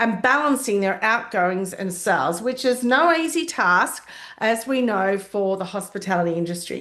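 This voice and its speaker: The intonation is lively and the pace is moderate. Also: woman. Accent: Australian. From Australia. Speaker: hospitality consultant. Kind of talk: casual talk to camera. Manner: conversational with fillers.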